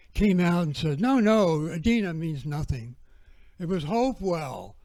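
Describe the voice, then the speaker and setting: A man talks at a very slow pace. His tone is dark and mellow, with lively intonation. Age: 70s. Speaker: researcher and speaker on prehistory. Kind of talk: lecture. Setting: festival talk streamed on video call.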